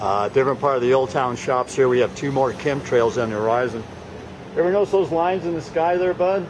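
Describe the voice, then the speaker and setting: A man's medium-pitched voice with an American accent and lively intonation, over noticeable background noise. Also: fairly quick pace. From Arizona, Scottsdale. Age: 60s. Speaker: amateur video maker, Navy veteran. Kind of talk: casual chat, filming narration. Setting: outdoors.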